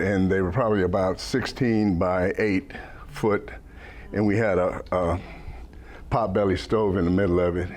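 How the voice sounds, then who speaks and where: A man in an American accent with a very deep, low pitch, monotone, flat intonation and very even loudness, amid audible room echo. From Germany, then New Mexico. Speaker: city council candidate. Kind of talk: campaign talk to a club. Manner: halting, many fillers.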